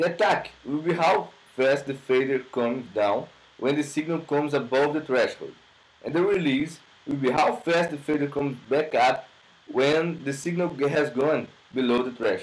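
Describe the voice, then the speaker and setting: A man with a Brazilian accent and a fairly high pitch. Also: ordinary pitch variation, moderate pace. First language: Portuguese. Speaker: music production student. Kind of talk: tutorial. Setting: home studio. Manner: halting. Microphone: laptop recording.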